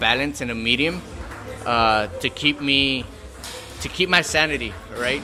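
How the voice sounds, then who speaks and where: Music in the background behind a man talking at a moderate pace. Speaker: amateur boxer. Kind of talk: interview answer. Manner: soft-spoken.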